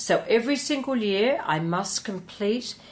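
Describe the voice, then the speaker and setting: A woman speaks with lively intonation. Hers is an unremarkable speaking voice. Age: 60s. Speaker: hairdressing educator. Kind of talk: interview conversation. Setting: studio.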